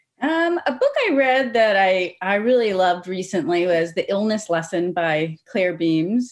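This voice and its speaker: A woman with a normal speaking voice talks at a fairly slow pace and a medium pitch, her intonation lively, her loudness very even, hardly any pauses, over a quiet background. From Cincinnati, Ohio. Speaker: writer and creative writing professor. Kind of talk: casual chat. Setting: video call.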